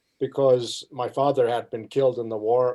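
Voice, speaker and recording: This man talks at a moderate pace, his medium-pitched voice carrying a dark, mellow tone. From Germany. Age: 80s+. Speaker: retired college soccer coach. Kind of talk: interview storytelling.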